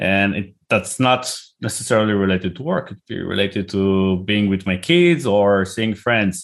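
A man speaks at a fairly low pitch with ordinary pitch variation. He hardly pauses at all. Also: moderate pace. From Israel. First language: Hebrew. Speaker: tech company CEO and founder. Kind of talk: interview. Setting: video call.

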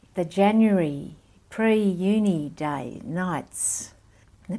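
There's a dark, mellow tone to this woman's voice, and she speaks with an Australian accent. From Malaysia and Sydney, Australia. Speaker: missionary and student ministry worker. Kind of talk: interview. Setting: in person.

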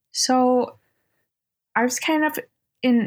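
Her voice comes through somewhat breathy. The woman's pitch moves with ordinary variation. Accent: American. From upstate New York (Utica). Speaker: guest in addiction recovery, artist. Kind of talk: casual interview, personal testimony.

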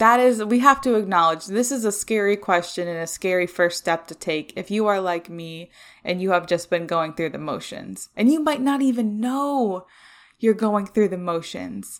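At a moderate pace, a woman speaks at medium pitch in a warm, upbeat tone with lively intonation and big swings in loudness, in a very clean recording with a silent background. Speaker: podcast host. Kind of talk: solo podcast monologue, personal and reflective. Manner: upbeat, enthusiastic, sometimes raised "customer service" tone; warm, chatty, laughs often.

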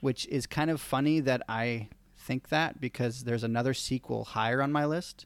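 This is an unremarkable speaking voice with very even loudness, a moderate pace and fairly even intonation. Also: man, medium pitch for a man. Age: 20s. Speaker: podcast host. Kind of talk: casual chat.

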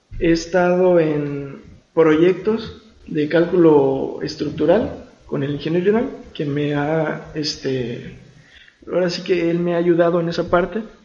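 Audible room echo surrounds a man speaking at a fairly slow pace in a high pitch with ordinary pitch variation. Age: 20s. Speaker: civil engineer. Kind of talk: casual interview chat.

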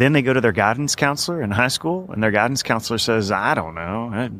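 Lively intonation fills a man's normal speaking voice at medium pitch, in a very clean recording with a silent background. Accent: American. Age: 30s. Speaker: financial planning professor. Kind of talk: interview. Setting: conference.

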